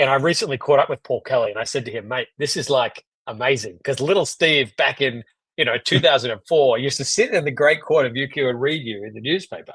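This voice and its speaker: Talking very fast, a man in an Australian accent uses a fairly high pitch. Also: ordinary pitch variation. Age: 30s. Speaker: economist. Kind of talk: casual discussion.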